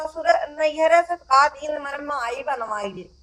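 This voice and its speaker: This woman has a high pitch and a bright, sharp tone. Her voice is raised and projected. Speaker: mother-in-law in skit. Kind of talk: village comedy sketch dialogue. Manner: scolding, mocking.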